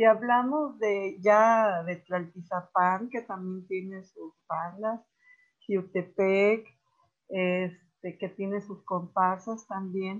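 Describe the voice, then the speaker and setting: A woman talks at a medium pitch and a very slow pace. Her intonation is fairly even, but her loudness swings widely. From Morelos, Mexico. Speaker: retired teacher and education official. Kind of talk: interview, storytelling. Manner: halting, many fillers.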